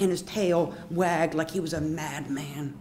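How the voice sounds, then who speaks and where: A woman with an American accent and a very deep, low pitch speaks at a fairly slow pace, with audible room echo. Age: 60s. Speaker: storyteller. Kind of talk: personal storytelling performance. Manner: animated.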